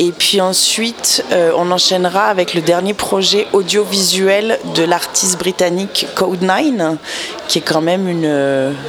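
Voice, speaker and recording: Noticeable background noise sits behind a woman talking at a medium pitch. She speaks at a fairly slow pace, and her loudness stays very even. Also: ordinary pitch variation. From mixed: born Lyon, English father, 10 years Montreal. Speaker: music festival programmer. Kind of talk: radio interview. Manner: hesitant.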